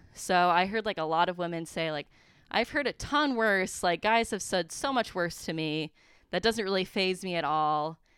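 In an ordinary speaking voice, a woman with an American accent talks at a medium pitch and moderate pace with lively intonation, recorded very cleanly against a silent background. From central Wisconsin. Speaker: recent graduate, business employee. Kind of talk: casual interview.

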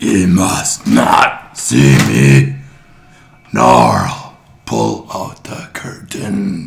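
A man's raspy, put-on character voice, very deep and low in pitch, at a very slow pace with long, frequent pauses and audible echo. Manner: snapping, commanding.

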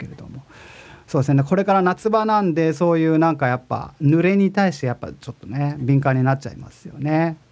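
A man's fairly high-pitched voice at a very fast pace, with big swings in loudness and ordinary pitch variation. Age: 40s. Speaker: podcast host and music composer. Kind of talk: casual web radio monologue. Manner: relaxed, laid-back.

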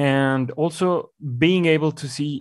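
A man with a Mexican accent and fairly even intonation, on a very clean recording with a silent background. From Mexico. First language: Spanish. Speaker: communications executive. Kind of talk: interview. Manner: hesitant.

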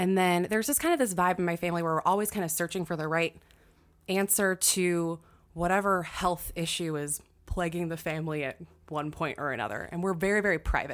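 With an American accent and a normal speaking voice, a woman talks at a fairly low pitch and fairly quick pace with ordinary pitch variation, on a very clean recording with a silent background. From US Pacific Northwest, Washington State. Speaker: nutritional therapist and fitness coach. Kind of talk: casual chat.

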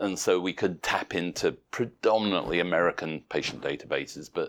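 A man with a British accent has a very deep, low pitch. Vocal fry runs through his speech. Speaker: professor of intensive care and researcher. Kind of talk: interview answering medical questions.

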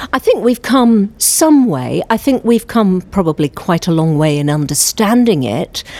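Over noticeable background noise, a woman speaks at a medium pitch and a fairly slow pace, with very wide pitch swings and hardly any pauses. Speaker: professor. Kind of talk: interview.

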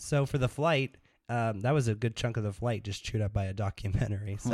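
This man has a normal speaking voice at medium pitch with ordinary pitch variation. He talks at a fairly quick pace. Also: very clean recording, silent background. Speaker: podcast guest, musician and filmmaker; documentary maker.

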